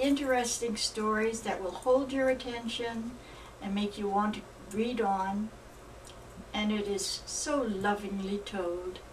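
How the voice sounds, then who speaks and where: Over noticeable background noise, a woman speaks at a fairly slow pace and fairly high pitch, with fairly even intonation. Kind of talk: religious book reading.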